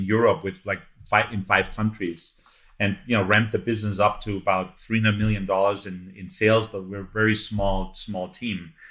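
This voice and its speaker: A man's fairly low voice in a German accent, monotone and flat, at a moderate pace. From Germany, Munich. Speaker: entrepreneur and investor. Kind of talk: interview. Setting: podcast. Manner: halting, many fillers and repeats.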